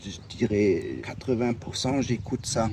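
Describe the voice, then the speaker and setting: At a very slow pace, a man with a German accent speaks at a medium pitch and with fairly even intonation over noticeable background noise. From Germany. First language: German (speaking French). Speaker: hiker interviewed outdoors. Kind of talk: casual interview. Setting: outdoors by a lake. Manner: halting.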